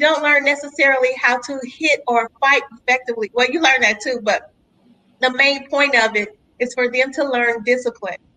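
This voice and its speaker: A woman's raised, projected voice, animated in tone, high in pitch, with ordinary pitch variation and a moderate pace. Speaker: podcast host. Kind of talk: interview.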